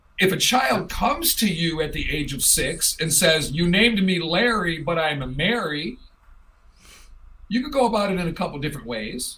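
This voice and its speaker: A man with a high pitch speaks at a moderate pace with lively intonation, amid noticeable background noise and audible room echo. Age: 50s. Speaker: talk show host. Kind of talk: casual chat.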